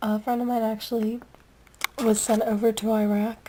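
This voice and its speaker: A woman's fairly high voice at a moderate pace, amid noticeable background noise. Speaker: fan video reviewer. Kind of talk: casual vlog review. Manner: casual, filler-heavy.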